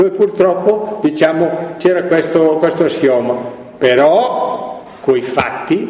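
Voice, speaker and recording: A man's fairly slow speech carries audible room echo, with noticeable background noise behind it. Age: 80s+. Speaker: former bodybuilder and fitness entrepreneur. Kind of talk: interview. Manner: halting.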